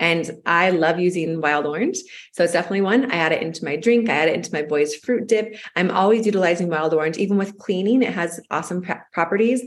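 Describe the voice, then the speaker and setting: A woman talks at a very fast pace in a fairly low voice. Her pitch varies an ordinary amount. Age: 30s. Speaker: podcast co-host. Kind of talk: casual chat.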